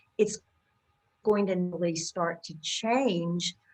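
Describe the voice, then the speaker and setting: A woman talks at a very slow pace with an American accent. Her pitch sits fairly low, with ordinary variation. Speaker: accent coach. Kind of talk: interview.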